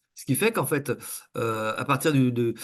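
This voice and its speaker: A man talks at medium pitch with ordinary pitch variation. The background is quiet. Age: 60s. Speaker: coach and trainer. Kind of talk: interview. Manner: halting, many fillers.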